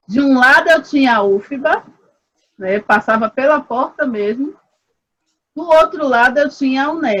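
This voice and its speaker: A woman's high voice at a fairly slow pace, with ordinary pitch variation. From Brazil, Salvador, Bahia. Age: 40s. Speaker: researcher in human ecology. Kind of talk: interview conversation. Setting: video call.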